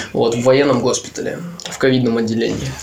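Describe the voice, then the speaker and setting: Fairly quick male speech amid audible room echo and noticeable background noise. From Leningrad Oblast, Russia. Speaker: podcast co-host. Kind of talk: casual chat.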